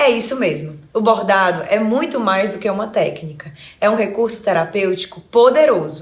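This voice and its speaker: A woman with a Fortaleza accent speaks at medium pitch and a moderate pace. Her intonation is lively, and there is noticeable background noise. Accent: Northeastern Brazilian (Fortaleza). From Brazil, Ceará (Fortaleza). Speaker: psychologist and embroidery teacher. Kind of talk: online lesson.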